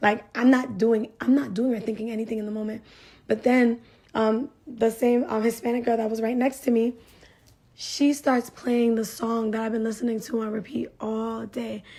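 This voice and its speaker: A woman talks at a moderate pace in an animated tone that is somewhat breathy. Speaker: vlogger sharing faith testimony. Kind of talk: testimony. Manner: animated, casual.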